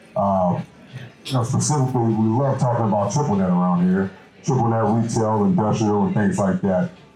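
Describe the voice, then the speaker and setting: Noticeable background noise behind a man of medium pitch, speaking at a moderate pace with an American accent. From US South, New Orleans, Louisiana. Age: 20s. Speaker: commercial real estate broker, meetup organizer. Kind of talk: event introduction. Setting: meetup with live audience. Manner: hesitant, many fillers.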